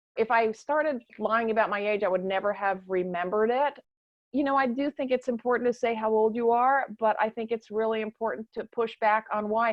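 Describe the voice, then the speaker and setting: Using a plain, everyday voice, a woman speaks at a moderate pace with a fairly high pitch and ordinary pitch variation. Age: 60s. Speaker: writer and anti-ageism activist. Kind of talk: panel discussion.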